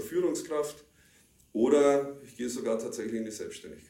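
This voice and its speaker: Audible room echo and noticeable background noise accompany a man talking at a moderate pace. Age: 50s. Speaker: security professional. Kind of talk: interview.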